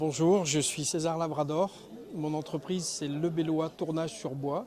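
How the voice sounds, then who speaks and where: Fairly even intonation at a fairly slow pace. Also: man, fairly high pitch for a man. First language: Spanish (speaking French). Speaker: wood turner, craftsman. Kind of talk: interview.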